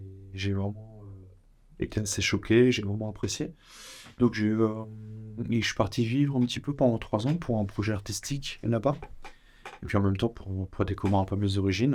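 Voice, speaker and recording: Pausing long and often, a man with a Parisian accent keeps a moderate pace at a fairly low pitch with ordinary pitch variation. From France, Paris. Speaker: photographer and filmmaker. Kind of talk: interview.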